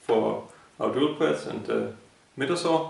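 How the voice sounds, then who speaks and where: A man talks fairly slowly while noticeable background noise is heard. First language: not English. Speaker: woodworker. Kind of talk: DIY tutorial talk.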